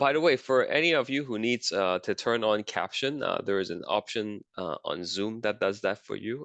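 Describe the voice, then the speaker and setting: Lively intonation moves along at a moderate pace in a dry, close recording with no echo and a quiet background. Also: man, medium pitch for a man. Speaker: teacher. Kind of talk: lecture. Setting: video call. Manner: hesitant with many fillers.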